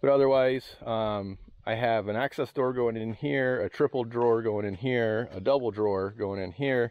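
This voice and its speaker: Using a plain, everyday voice, a man talks at a moderate pace with ordinary pitch variation and a dry sound with no echo. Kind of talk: tutorial. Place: garden. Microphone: helmet.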